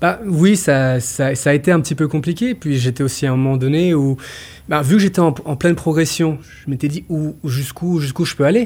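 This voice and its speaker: Somewhat breathy, a man talks fairly quickly at a fairly high pitch with ordinary pitch variation. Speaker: choreographer and dancer. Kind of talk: interview. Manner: halting.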